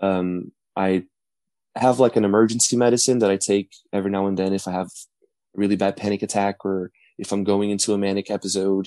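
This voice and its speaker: Speaking with a Portuguese accent, a man has a fairly low pitch and a dark, mellow tone. His fairly quick delivery comes through in a dry, close sound with no echo. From Brazil. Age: 20s. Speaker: college student. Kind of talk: interview.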